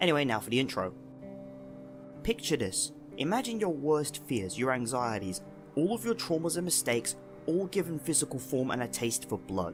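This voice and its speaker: A man's fairly high voice with very wide pitch swings, a moderate pace and long, frequent pauses, with music in the background. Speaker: video game analysis youtuber. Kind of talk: video essay narration.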